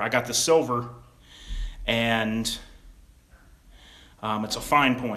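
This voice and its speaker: A man's voice carries audible echo from the room. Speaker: gun YouTuber. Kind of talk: livestream product demo. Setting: home livestream at gun table. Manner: halting, casual.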